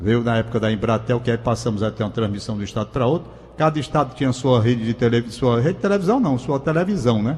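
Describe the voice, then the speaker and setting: A man rushes along at a very fast pace while noticeable background noise plays. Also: medium pitch for a man, ordinary pitch variation. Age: 70s. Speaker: radio and TV veteran. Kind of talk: casual radio chat.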